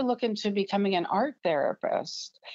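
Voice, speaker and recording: A woman's plain, everyday voice at a moderate pace, with ordinary pitch variation and a dry, close sound with no echo. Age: 60s. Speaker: physical therapist and artist. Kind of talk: interview.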